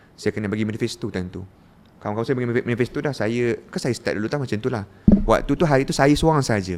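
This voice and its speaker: Speaking at a very fast pace, a man keeps ordinary pitch variation. His voice sits at a medium pitch. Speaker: former student leader sharing his story. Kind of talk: interview.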